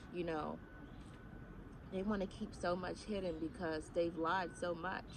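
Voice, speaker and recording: A woman speaks at a fairly slow pace in a fairly low pitch, with monotone, flat intonation. There is audible room echo. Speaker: spiritual YouTuber. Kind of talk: casual monologue. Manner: halting, many fillers.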